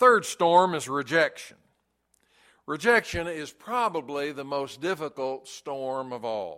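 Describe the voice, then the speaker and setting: In a very clean recording with a silent background, a man with a fairly high pitch speaks fairly slowly in a bright, sharp tone, with lively intonation and big swings in loudness. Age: 70s. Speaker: pastor. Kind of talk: sermon. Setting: church.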